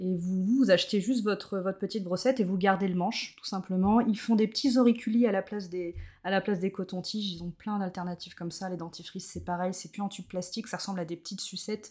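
Speaking very fast with hardly any pauses, a woman uses a medium pitch and a dark, mellow, somewhat breathy tone, her intonation fairly even but her loudness swinging widely. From Brittany, France (Morbihan, near Carnac). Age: 30s. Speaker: zero-waste practitioner. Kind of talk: casual interview.

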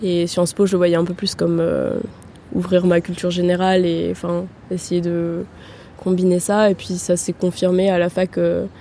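A woman speaks at a moderate pace in a fairly low, monotone voice. She leaves long, frequent pauses. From Austria, Vienna. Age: 20s. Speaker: master's student. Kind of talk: interview. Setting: outdoors by the river. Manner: hesitant, many fillers.

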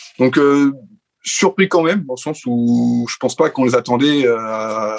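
A man in a plain, everyday voice, medium in pitch with ordinary pitch variation, at a moderate pace, in a dry, close sound with no echo. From France. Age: 20s. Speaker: Formula 1 podcast panelist. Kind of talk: casual chat.

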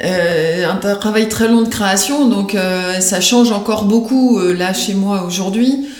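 Amid noticeable background noise and audible room echo, a woman with a medium pitch and ordinary pitch variation speaks very slowly with hardly any pauses. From Paris region (Yvelines), France. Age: 40s. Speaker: career changer, craftswoman. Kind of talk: interview. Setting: her home workshop.

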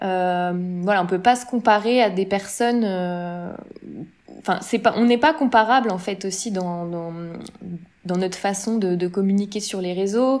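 In a plain, everyday voice, a woman speaks at a medium pitch with ordinary pitch variation. Her pace is fairly slow. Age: 30s. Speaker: social media manager. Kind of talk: interview.

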